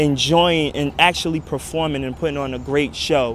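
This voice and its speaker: A fairly high-pitched man's voice with a New York accent, monotone, flat intonation and noticeable background noise. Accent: New York American. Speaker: former dancer. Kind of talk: interview testimony.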